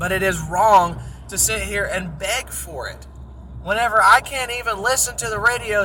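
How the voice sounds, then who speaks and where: The speaker has an animated tone, with noticeable background noise behind. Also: man. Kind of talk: casual monologue rant. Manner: loud.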